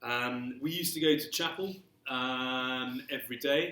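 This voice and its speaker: A man speaks with an English accent. His intonation is fairly even. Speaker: speaker with a stammer. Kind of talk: panel talk. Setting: live-streamed talk with audience. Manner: stammer.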